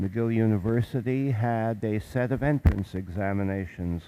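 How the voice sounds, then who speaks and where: On a very clean recording with a silent background, a man with a Canadian accent speaks at a fairly slow pace in a fairly low pitch, his dark, mellow tone showing ordinary pitch variation. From Montreal, Quebec, Canada. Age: 80s+. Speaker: guest lecturer. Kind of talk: lecture. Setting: chapel. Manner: halting.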